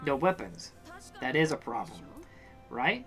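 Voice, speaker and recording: A man uses a put-on character voice, fairly high in pitch with very wide pitch swings. Clear music plays in the background. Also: moderate pace. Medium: game stream. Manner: terse, blunt.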